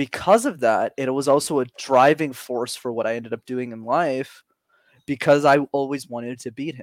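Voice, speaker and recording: A man with an unremarkable speaking voice talks at a moderate pace and medium pitch, with ordinary pitch variation and big swings in loudness. The sound is dry and close with no echo. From Montreal, Canada. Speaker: public speaking coach. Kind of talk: interview conversation.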